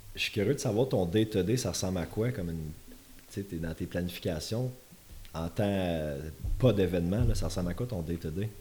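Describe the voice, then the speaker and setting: A man with a very deep, low pitch and a dark, mellow, somewhat breathy tone speaks at a moderate pace with ordinary pitch variation and long, frequent pauses. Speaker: podcast host. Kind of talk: casual interview chat. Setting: studio.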